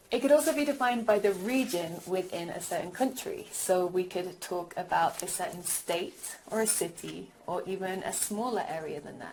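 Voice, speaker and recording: A woman's medium-pitched voice at a moderate pace, lively intonation and big swings in loudness, with audible room echo and noticeable background noise. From England, Birmingham. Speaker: language teacher. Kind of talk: recorded lecture.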